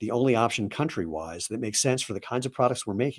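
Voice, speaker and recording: A man speaks with vocal fry. His pitch is medium. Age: 60s. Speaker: company co-founder and CEO. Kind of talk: live product presentation. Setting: livestream. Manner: casual and conversational.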